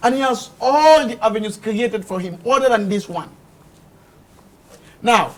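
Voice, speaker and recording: A man with a high pitch speaks in an animated tone with ordinary pitch variation. His pace is moderate, broken by long, frequent pauses. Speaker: political commentator. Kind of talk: heated debate.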